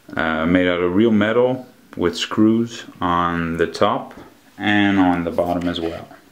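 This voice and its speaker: Over audible room echo, a man with a very deep, low pitch speaks at a fairly slow pace with ordinary pitch variation. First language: Dutch. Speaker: collectibles reviewer. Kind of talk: product review. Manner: halting, frequent fillers.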